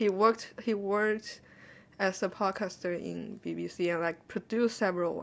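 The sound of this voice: Speaking at a moderate pace, a woman with a medium pitch uses lively intonation and some vocal fry.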